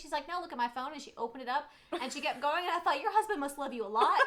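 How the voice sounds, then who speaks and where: In a Southern US accent, a speaker races along at a very fast pace with lively intonation over noticeable background noise. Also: woman. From Germany, US military family. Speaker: PA educator and co-host. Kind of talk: casual live stream chat.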